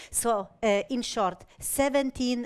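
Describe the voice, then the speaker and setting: This woman speaks at a fairly slow pace with ordinary pitch variation. She has a Polish accent. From Poland. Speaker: patient safety advocate. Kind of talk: conference presentation. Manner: halting, many filler sounds.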